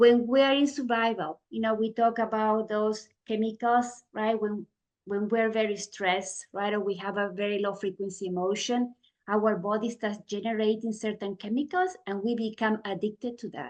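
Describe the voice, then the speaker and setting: Over a quiet background, a woman with a non-native accent speaks in a fairly high pitch with fairly even intonation. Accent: foreign accent, noticeable. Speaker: guest speaker in meditation book group. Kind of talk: book discussion talk. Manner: deliberately slow; many fillers, says right? often.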